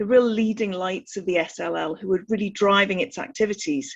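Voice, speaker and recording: A woman talks at a fairly quick pace with ordinary pitch variation. Her voice is somewhat breathy. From North East England. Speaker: interviewer, membership officer. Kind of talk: interview.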